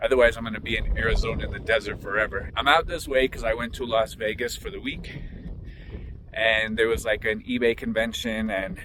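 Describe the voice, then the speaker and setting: There is noticeable background noise behind this man. He speaks fairly quickly with an American accent. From Florida. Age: 40s. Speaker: online reseller and coach. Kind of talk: casual vlog talk.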